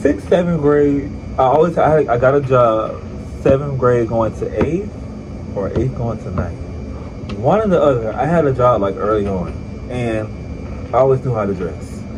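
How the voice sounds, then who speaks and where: Amid noticeable background noise and audible room echo, a man with a medium pitch and lively intonation speaks with long, frequent pauses. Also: moderate pace. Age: 20s. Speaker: vlogger. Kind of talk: casual vlog talk. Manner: casual, chatty.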